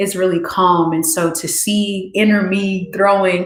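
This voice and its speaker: With audible echo from the room, a woman speaks at a fairly slow speed. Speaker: meditation session host. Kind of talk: guided reflection after meditation. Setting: YouTube livestream. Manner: soft-spoken, low.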